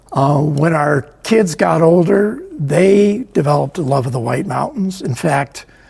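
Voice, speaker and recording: Over noticeable background noise, a man with an American accent speaks in a fairly high pitch at a fairly slow pace. His intonation is lively, and he barely pauses. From US Midwest, Chicago area. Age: 80s+. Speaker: book author and photographer. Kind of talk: interview. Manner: hesitant, many fillers.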